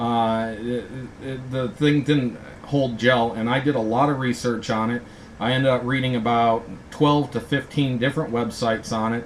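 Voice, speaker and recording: A man with an American accent speaks at a moderate pace and medium pitch in a monotone, flat intonation, with noticeable background noise behind him. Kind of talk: rant, ad-libbed monologue. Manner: hesitant, many fillers.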